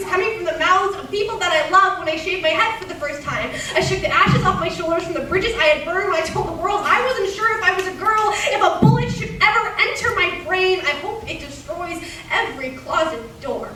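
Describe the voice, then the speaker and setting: Raising and projecting her extremely high voice, a woman races at a fairly quick pace with hardly any pauses and lively intonation over noticeable background noise. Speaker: slam poet. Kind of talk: slam poetry performance. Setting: live stage in a cinema.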